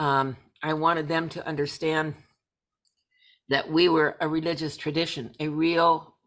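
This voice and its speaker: A woman with an American accent speaks in a very deep, low pitch at a fairly slow pace and in a flat monotone, on a very clean recording with a silent background. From US Pacific Northwest. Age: 70s. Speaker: journalist and pagan lecturer. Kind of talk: interview.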